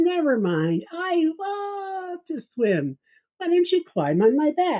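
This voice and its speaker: A put-on character voice, squeaky and extremely high. It moves at a fairly slow pace. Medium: read story. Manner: smooth, coaxing.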